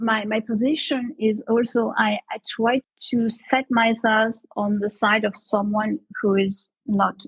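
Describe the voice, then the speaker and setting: A woman speaks with a fairly high pitch and a somewhat breathy quality, her intonation fairly even, in a dry, close sound with no echo. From Marseille, France. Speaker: economist and communication expert. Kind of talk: interview answer.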